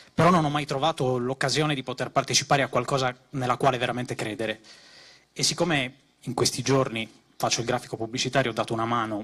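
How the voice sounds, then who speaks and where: This man talks at a very fast pace. His intonation stays fairly even. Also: medium pitch for a man. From Sardinia. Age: 30s. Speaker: political activist, graphic designer. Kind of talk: political rally speech. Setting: stage with audience.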